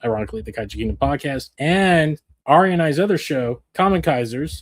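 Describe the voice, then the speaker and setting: Recorded very cleanly with a silent background, a man talks in a normal speaking voice, fairly high in pitch, with lively intonation at a fairly quick pace. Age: 40s. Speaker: podcast host. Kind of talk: casual chat. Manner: casual, with many fillers.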